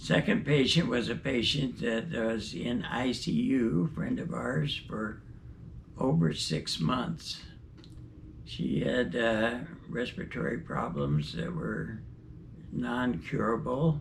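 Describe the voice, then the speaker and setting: A man at a medium pitch and very slow pace, with very wide pitch swings and audible room echo. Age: 80s+. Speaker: retired doctor. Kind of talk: personal reflection.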